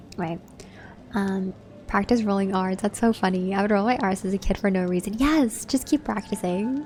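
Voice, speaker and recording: Music plays in the background as a woman in a Californian accent speaks at a moderate pace and medium pitch. Her tone is soothing, with ordinary pitch variation. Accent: Californian American. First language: Vietnamese (alongside English). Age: 20s. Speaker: gaming streamer. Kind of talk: casual chat. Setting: live stream.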